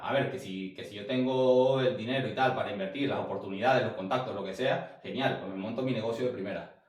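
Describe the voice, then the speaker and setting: Talking at a very fast pace with ordinary pitch variation, a man is heard with audible room echo. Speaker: sales coach. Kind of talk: online class.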